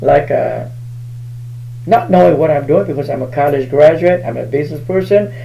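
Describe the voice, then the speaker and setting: Over noticeable background noise and audible room echo, a man with a Southeast Asian accent talks at a moderate pace in a fairly high pitch with lively intonation. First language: Hmong. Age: 60s. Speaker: spiritual healer. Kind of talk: live stream talk.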